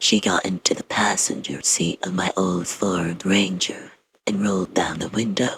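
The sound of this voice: The clip features an unforced reading voice. It is used throughout.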